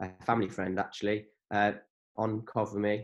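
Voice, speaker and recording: With an English accent, a man speaks at a moderate pace and a fairly low pitch. The background is quiet. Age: 20s. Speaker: business owner and cheerleader. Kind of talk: casual chat.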